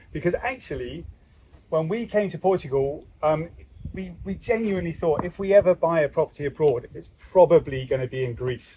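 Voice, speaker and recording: A man speaks with lively intonation and a high pitch. Light background noise can be heard. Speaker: homestead vlogger host. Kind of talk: casual vlog chat. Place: garden. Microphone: camera far.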